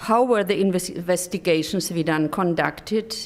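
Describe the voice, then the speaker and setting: The recording is very clean with a silent background. A woman speaks at a fairly low pitch with ordinary pitch variation. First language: German. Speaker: development cooperation expert. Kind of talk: conference presentation. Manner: halting.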